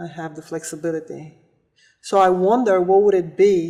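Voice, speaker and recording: Speaking with a non-native accent, a woman uses a dark, mellow tone. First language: not English. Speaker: volleyball player and coach. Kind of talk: testimonial interview.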